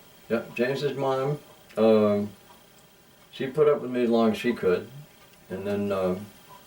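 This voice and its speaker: Amid noticeable background noise, a man of medium pitch speaks at a fairly slow pace with lively intonation and long, frequent pauses. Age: 60s. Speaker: musician. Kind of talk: interview. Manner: halting, many fillers.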